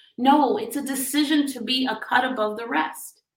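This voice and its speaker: A woman with an American accent speaks in a high, animated voice with a bright, sharp tone and ordinary pitch variation, and audible room echo. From US South, Miami, Florida. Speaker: business coach. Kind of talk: motivational talk. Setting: live stream.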